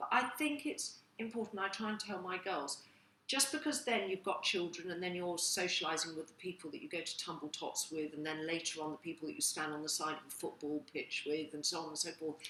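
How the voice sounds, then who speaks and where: A woman with an unremarkable speaking voice talks at a fairly quick pace. Her pitch is fairly low, and her intonation is lively. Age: middle-aged. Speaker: online magazine host. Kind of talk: casual chat.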